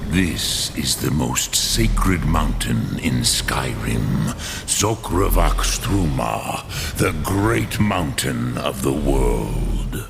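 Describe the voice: In a put-on character voice, a man speaks at an extremely low pitch with vocal fry, lively intonation, a very slow pace and few pauses, over clear background noise.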